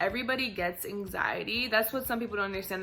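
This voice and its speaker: A woman talks with ordinary pitch variation. Noticeable background noise runs under her voice. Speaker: vlogger. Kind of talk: casual talk to camera. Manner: fast; stuttering, filler-heavy.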